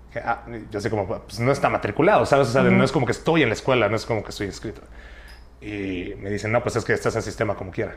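A man delivers his words very fast while noticeable background noise runs underneath. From Mexico, Chiapas (Tuxtla Gutiérrez). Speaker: youtuber. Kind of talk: casual chat.

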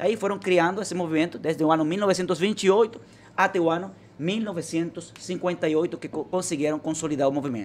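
With a Spanish accent, the speaker keeps to a moderate pace. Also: man, high pitch for a man, ordinary pitch variation. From Venezuela. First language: Spanish (speaking Portuguese). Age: 30s. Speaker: political party leader. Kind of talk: interview. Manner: halting.

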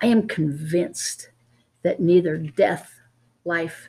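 Vocal fry colors a woman's dark, mellow tone and fairly low pitch. She speaks at a very slow pace with lively intonation. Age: 70s. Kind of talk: Bible teaching discussion.

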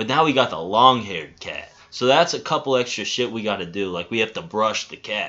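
Lively intonation and a moderate pace from a man of medium pitch with a plain, everyday voice. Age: 20s. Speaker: podcast co-host. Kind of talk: casual chat.

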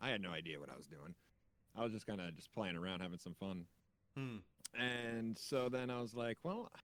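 This man has a plain, everyday voice, pitched fairly low. He talks at a moderate pace with lively intonation. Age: 30s. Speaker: gaming content creator. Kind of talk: casual interview.

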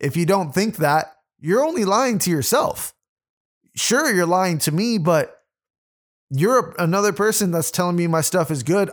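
On a very clean recording with a silent background, a man speaks at a moderate pace in an animated tone, his high pitch carried by lively intonation. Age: 20s. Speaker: podcast host and rapper. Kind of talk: solo monologue podcast.

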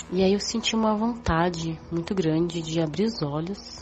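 A woman speaks in a fairly low pitch with ordinary pitch variation. Noticeable background noise is present. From São Paulo, Brazil. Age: 30s. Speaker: witness recounting UFO sighting. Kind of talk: testimony. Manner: hesitant, repeats words.

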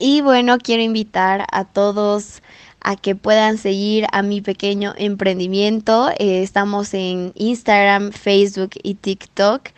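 Monotone, flat intonation at a very slow pace, with hardly any pauses. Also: woman, medium pitch for a woman. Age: 20s. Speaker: student entrepreneur. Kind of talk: podcast interview.

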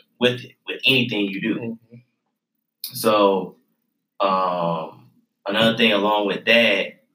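The voice has a bright, sharp tone and fairly even intonation. It moves at a fairly slow pace with long, frequent pauses. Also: man, fairly low pitch for a man. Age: 20s. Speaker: navy sailor and aspiring entrepreneur. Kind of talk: casual chat.

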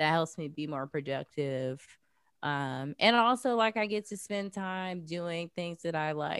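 A woman with a plain, everyday voice and an American accent, fairly low pitch, lively intonation and a fairly slow pace, recorded dry and close with no echo, very clean with a silent background. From US South, Jacksonville, Florida. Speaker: artist, activist and podcast host. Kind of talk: casual interview chat. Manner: casual, many fillers like 'like' and 'um'.

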